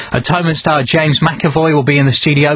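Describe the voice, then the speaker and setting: A fairly high-pitched man amid noticeable background noise. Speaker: radio presenter. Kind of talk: radio presenter link and programme promo.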